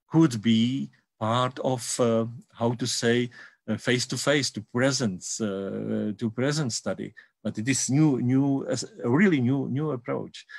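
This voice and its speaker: Speaking at a fairly slow pace with a Czech accent, a man shows ordinary pitch variation. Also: medium pitch for a man. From Czech Republic. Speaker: university education researcher. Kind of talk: conference presentation. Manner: halting, many repetitions and fillers.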